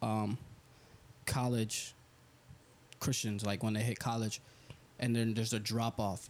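Moderate pacing from a male speaker. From Puerto Rican family, New England US. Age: 20s. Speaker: podcast co-host. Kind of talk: casual chat.

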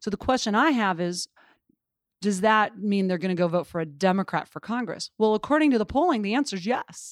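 With an American accent and an unremarkable speaking voice, a woman talks at a fairly quick pace with lively intonation on a very clean recording with a silent background and a dry, close sound with no echo. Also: medium pitch for a woman. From Montana. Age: 40s. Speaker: political organization president. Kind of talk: interview. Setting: office building.

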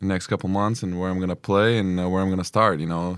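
This man has a Lithuanian accent and a very deep, low pitch. His intonation is monotone and flat. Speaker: basketball player. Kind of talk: interview.

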